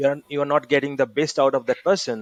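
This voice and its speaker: A fairly high-pitched man with an Indian accent, recorded dry and close with no echo, over a quiet background. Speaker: podcast host, training academy founder. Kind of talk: podcast interview. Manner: many fillers, halting.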